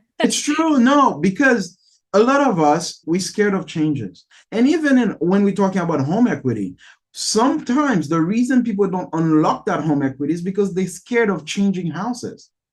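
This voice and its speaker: Male speech pitched high, at a medium tempo, swinging across a very broad pitch range. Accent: Haitian. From Haiti. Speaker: podcast host, real estate agent. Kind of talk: interview podcast.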